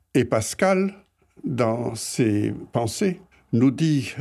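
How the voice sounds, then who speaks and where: A very clean recording, silent background, pitch swinging very widely. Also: man. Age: 80s+. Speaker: retiree, host's grandfather. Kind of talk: interview.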